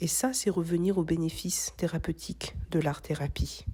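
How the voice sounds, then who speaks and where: A woman's calm, somewhat breathy, dark, mellow voice, fairly low-pitched with fairly even intonation, on a very clean recording with a silent background. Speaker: craft content creator. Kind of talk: reflective voice-over narration.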